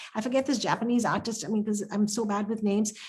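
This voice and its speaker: A woman's somewhat breathy, fairly high voice at a very fast pace. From India. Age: 60s. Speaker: artist. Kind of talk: panel discussion. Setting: video call. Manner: halting, many fillers and restarts.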